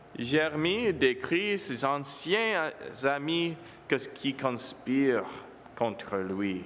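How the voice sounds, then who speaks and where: The speaker has an English accent. The pace is very slow. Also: man. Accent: English-speaking accent in French. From Ontario, Canada, English-speaking home. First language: English (speaking French). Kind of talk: homily. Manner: halting.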